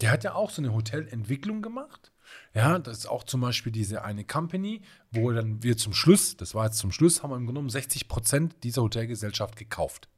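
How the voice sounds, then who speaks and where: Over a silent background in a very clean recording, a man with a slight Swabian accent talks at a fairly quick pace in a medium pitch, somewhat breathy, his tone animated and his intonation lively. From Swabian Jura near Reutlingen, southern Germany. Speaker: hotel executive and consultant. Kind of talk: casual interview chat.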